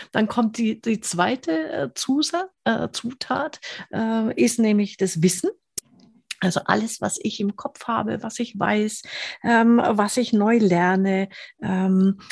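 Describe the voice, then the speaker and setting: Lively intonation marks this woman's fairly high voice. It sounds somewhat breathy. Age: 50s. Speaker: podcast host reviewing business books. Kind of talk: casual interview.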